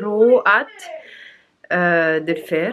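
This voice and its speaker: A woman talks with ordinary pitch variation. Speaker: vlogger, mother. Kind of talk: casual vlog. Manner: hesitant, many fillers.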